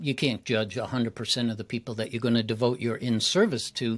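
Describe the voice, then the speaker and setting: Over a silent background on a very clean recording, a man with a normal speaking voice talks at a fairly quick pace with fairly even intonation. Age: 60s. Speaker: public speaking coach. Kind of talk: interview conversation.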